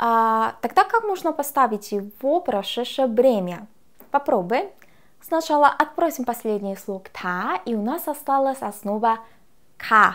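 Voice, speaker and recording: A woman at a very slow pace, fairly high pitch, very wide pitch swings, over a quiet background. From Korea. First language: Korean (speaking Russian). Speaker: language teacher. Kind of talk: lecture. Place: studio. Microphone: lapel.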